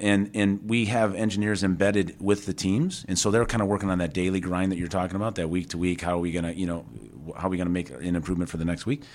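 Talking very fast with fairly even intonation, a man with a Chicago accent has a very deep, low pitch. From Chicago area, Tinley Park. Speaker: motorsport executive and automotive engineer. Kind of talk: interview. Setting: on location at a technical center.

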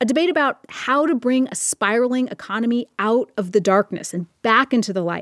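With a normal speaking voice, a woman talks at a fairly quick pace and fairly high pitch, using lively intonation and hardly any pauses, in a dry, close sound with no echo on a very clean recording with a silent background. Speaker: podcast host. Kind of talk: explanatory podcast narration. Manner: upbeat, playful.

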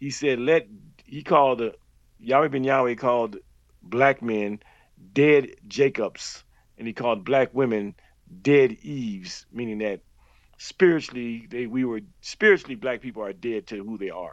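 A man at medium pitch talks at a moderate pace, with long, frequent pauses and big swings in loudness. His pitch variation is ordinary, and the background is quiet. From Miami, Florida. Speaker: former religious group member. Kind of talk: interview testimony.

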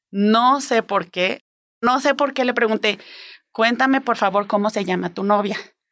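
On a very clean recording with a silent background, a woman with a fairly high pitch and ordinary pitch variation speaks at a fairly slow pace, leaving long, frequent pauses. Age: 40s. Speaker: human resources worker. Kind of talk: storytelling interview.

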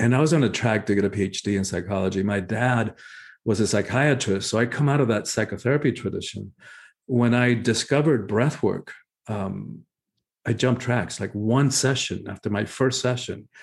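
A man with a Spanish accent at a medium pitch against a quiet background. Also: ordinary pitch variation, moderate pace. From Cuba. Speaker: spiritual teacher and author. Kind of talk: interview.

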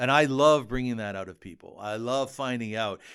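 On a very clean recording with a silent background, a man with an unremarkable speaking voice talks at medium pitch and a moderate pace with ordinary pitch variation. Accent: Canadian. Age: 50s. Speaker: podcast host and columnist. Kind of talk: casual chat.

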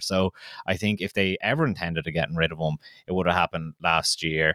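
Talking at a fairly quick pace, a man uses an Irish accent. The recording is very clean, with a silent background. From Kildare, Ireland. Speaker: podcast co-host. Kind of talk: casual sports preview chat. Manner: animated, enthusiastic.

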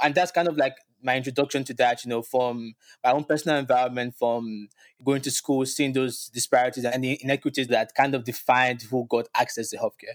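The sound is dry and close, with no echo, and the recording is very clean over a silent background. The speech moves at a very fast pace. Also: man. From Nigeria, Lagos. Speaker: bioethics graduate student. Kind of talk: interview. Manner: casual with frequent fillers.

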